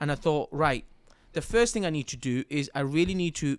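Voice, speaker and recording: This speaker has a Mancunian accent and lively intonation, heard on a very clean recording over a silent background. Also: man. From Manchester, England. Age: 30s. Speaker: business coach. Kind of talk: interview conversation. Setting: studio.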